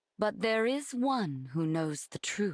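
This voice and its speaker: A cartoonish character voice with very wide pitch swings at a fairly slow pace. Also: female-sounding voice, medium pitch for a woman, very clean recording, silent background. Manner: warm, effusive.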